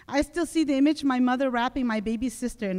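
Fairly quick speech from a woman, set against a quiet background. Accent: Southeast Asian. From Laos, raised in the US. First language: Hmong. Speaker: conference speaker. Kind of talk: prepared speech. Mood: reflective, earnest. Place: hall. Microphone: podium.

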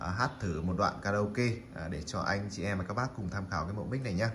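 The speech moves at a very fast pace over light background noise. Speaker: shop seller reviewing a microphone. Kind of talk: product review chat. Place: shop. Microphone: phone near.

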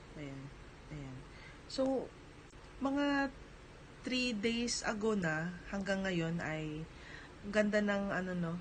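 Amid audible room echo, a woman speaks at a very slow pace with long, frequent pauses and very wide pitch swings. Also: medium pitch for a woman. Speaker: vlogger and small store owner. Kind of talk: casual vlog talk.

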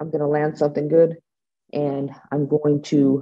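A woman with an American accent, very deep and low in pitch, at a moderate pace over a quiet background. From US West Coast, San Francisco Bay Area; US West Coast. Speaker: bare knuckle fighter; guest. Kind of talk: interview; interview answer. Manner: casual, halting with fillers. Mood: confident, candid. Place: home room. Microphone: video call.

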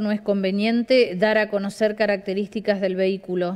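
A woman speaks at a moderate pace with a medium pitch. Her tone is slightly mellow.

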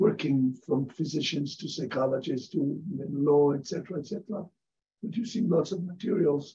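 This man has a fairly high pitch and a dark, mellow tone that is somewhat breathy. He talks at a moderate pace with ordinary pitch variation. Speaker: professor. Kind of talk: interview.

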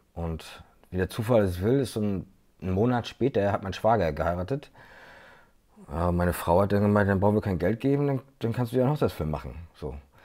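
Against a quiet background, a man with a fairly low pitch and a dark, mellow tone speaks with lively intonation and long, frequent pauses. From Mecklenburg-Vorpommern, Güstrow; Mecklenburg-Vorpommern. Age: 30s. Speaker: videographer; guest. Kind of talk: interview. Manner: hesitant, many fillers. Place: home room. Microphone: earbuds.

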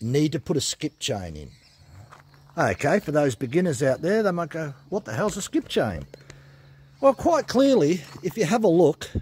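A man speaks with vocal fry and very wide pitch swings, leaving long, frequent pauses. The sound is dry, with no echo. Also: moderate pace. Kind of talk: tutorial. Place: garage. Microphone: phone near.

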